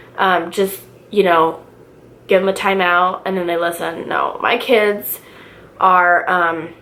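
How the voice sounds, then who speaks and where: Very slowly and with long, frequent pauses, a woman speaks at a medium pitch in a monotone, flat intonation, with audible room echo. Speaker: stay-at-home mom vlogger. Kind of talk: casual vlog chat. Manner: loud; casual, filler-heavy.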